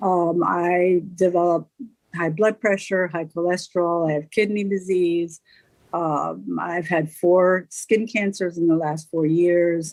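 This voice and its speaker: A woman's fairly low voice, monotone and flat, at a fairly slow pace. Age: 60s. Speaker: patient panelist. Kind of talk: patient testimony. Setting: video call. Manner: halting, many filler words.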